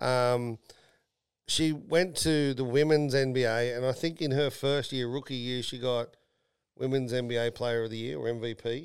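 A man at medium pitch, fairly slow in pace, with fairly even intonation. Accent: Australian. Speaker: podcast host and company CEO. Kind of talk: casual chat. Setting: studio.

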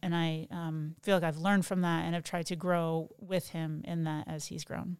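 A woman's normal speaking voice, fairly low in pitch, with an American accent at a moderate pace, on a very clean recording with a silent background. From Ohio, Toledo. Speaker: pastor's wife. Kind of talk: casual chat.

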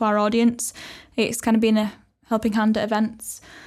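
A woman speaks at a fairly quick pace with a Yorkshire accent. Her pitch sits fairly high. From Wakefield, West Yorkshire. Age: 20s. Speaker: head of marketing and community at creative hub. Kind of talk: casual chat.

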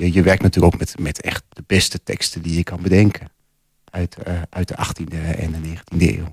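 A man speaks at a moderate pace with a very deep, low pitch and a somewhat breathy quality, his intonation monotone and flat. His loudness swings widely, and the sound is dry and close with no echo. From Losser, Twente, Netherlands. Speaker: poet and piano teacher. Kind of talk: radio interview. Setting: studio.

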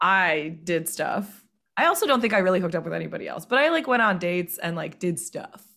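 With an American accent and a normal speaking voice, a woman talks at a fairly quick pace. Her medium pitch shows ordinary pitch variation. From US South. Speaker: podcast guest. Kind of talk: casual chat.

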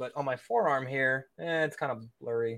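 Here is a man with an unremarkable speaking voice at medium pitch and ordinary pitch variation. The recording is very clean, with a silent background. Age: 30s. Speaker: offensive cybersecurity expert and author. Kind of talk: casual interview chat. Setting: live stream.

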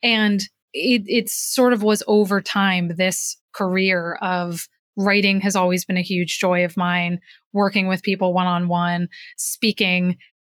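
In a very clean recording with a silent background and a dry, close sound with no echo, a woman with an American accent speaks at a fairly slow pace in a medium pitch, her intonation monotone and flat and her loudness very even. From New Jersey, US. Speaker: executive coach and author. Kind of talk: interview.

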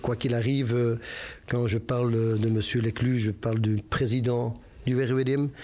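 A man's somewhat breathy voice at medium pitch, with a dark, mellow tone. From Belgium, Brussels (Molenbeek). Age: 50s. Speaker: football club president. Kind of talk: interview. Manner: hesitant, many repetitions.

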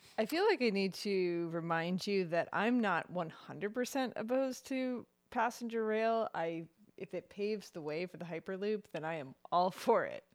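A woman speaks at a moderate pace in an unremarkable speaking voice, her pitch medium and her intonation lively. The recording is very clean, with a silent background. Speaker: co-host and guest. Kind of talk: casual chat about news.

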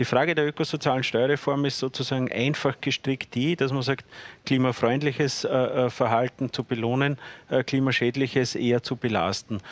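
Recorded with a dry, close sound and no echo, a man in an unremarkable speaking voice talks at a medium pitch and moderate pace, with fairly even intonation and very even loudness. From Lower Austria. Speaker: politician. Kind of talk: panel debate.

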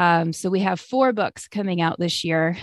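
Over a quiet background, a woman talks at a medium pitch and moderate pace with fairly even intonation, the sound dry and close with no echo. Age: 20s. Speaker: children's book author. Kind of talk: interview. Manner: hesitant fillers.

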